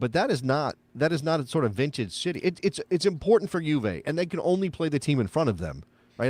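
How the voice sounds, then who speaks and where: In a very clean recording with a silent background, a man speaks at a fairly quick pace. He has a plain, everyday voice with lively intonation. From United States. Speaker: soccer podcast host. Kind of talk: casual chat. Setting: live show.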